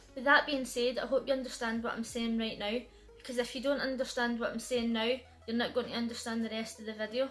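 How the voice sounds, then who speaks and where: The delivery is very fast and flat, in a monotone. Music plays in the background. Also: woman, high pitch for a woman. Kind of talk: explanatory.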